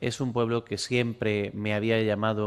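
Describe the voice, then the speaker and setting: The speaker is a man with a medium pitch. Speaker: art historian, lecturer. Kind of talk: lecture.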